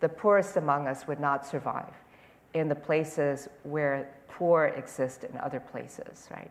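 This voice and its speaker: The woman's pitch is very deep and low. She speaks at a fairly slow pace. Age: 70s. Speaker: Zen teacher and political strategist. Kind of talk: public conversation. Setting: auditorium with audience.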